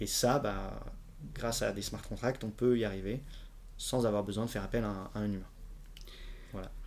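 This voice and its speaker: Heard with audible room echo, a man speaks at a moderate pace with long, frequent pauses. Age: 20s. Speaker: blockchain entrepreneur. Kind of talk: casual interview.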